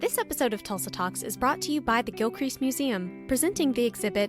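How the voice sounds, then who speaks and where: Against music in the background, a woman talks at a fairly quick pace with hardly any pauses. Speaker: podcast host. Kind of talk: podcast interview.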